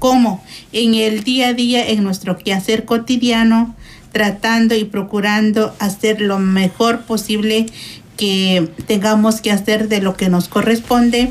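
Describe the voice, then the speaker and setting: Very slowly and at very even loudness, a woman speaks at a fairly high pitch in a monotone, flat intonation. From Guatemala. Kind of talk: radio interview.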